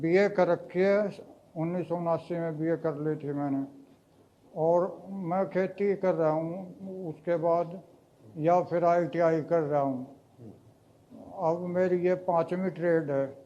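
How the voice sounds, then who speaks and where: A man speaks in a monotone with flat intonation, his voice pitched high for a man, and he leaves long, frequent pauses. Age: 60s. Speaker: farmer and mature student. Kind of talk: interview answers. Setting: on location at a training institute.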